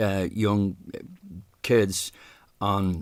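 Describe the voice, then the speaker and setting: A man with a Dublin accent speaks in a fairly low pitch with fairly even intonation, in a very clean recording with a silent background. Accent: Irish, Dublin. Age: 60s. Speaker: singer, podcast guest. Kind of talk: casual interview about grief. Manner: halting, many false starts and repetitions.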